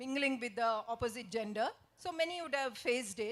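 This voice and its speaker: A woman's high-pitched voice with lively intonation, in an Indian accent. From India, Karnataka (Koppal). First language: Tulu. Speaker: author. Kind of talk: speech. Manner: hesitant, many fillers.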